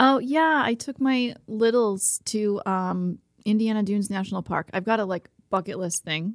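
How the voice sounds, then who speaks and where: A woman with an unremarkable speaking voice talks at a moderate pace with lively intonation. The recording is very clean with a silent background. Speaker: market executive director. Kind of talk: casual chat. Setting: studio. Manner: cheerful, laughs often.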